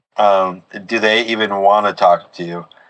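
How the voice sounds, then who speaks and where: Here is a man with a normal speaking voice, pitched fairly low. His intonation is fairly even and his pace fairly slow. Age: 20s. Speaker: podcast host. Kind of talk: casual chat.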